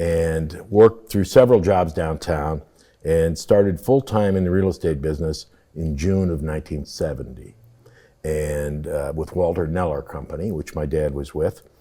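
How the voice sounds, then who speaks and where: A man's very deep, low voice with a dark, mellow tone and a Midwestern American accent, at a moderate pace with ordinary pitch variation. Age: 70s. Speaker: real estate developer. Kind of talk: interview.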